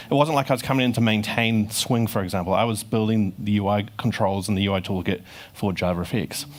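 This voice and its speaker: With a New Zealand accent, a man speaks at a fairly low pitch with very even loudness and ordinary pitch variation. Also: fairly quick pace. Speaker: software engineer giving conference talk. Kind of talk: conference talk. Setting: stage with audience.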